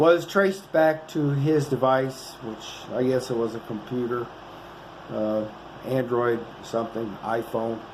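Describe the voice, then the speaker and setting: Through audible room echo and noticeable background noise, a man speaks at a fairly slow pace. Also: medium pitch for a man, ordinary pitch variation. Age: 60s. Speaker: vlogger. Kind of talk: casual monologue to camera. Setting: motel room. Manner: rambling, halting with fillers.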